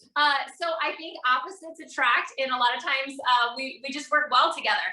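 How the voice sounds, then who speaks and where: A woman with an American accent speaks in a high, raised, projected voice at a fairly quick pace. Her tone is animated, her pitch varies in an ordinary way, and her loudness swings widely. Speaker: network marketing entrepreneur, podcast guest. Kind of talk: casual interview. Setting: video call from home office.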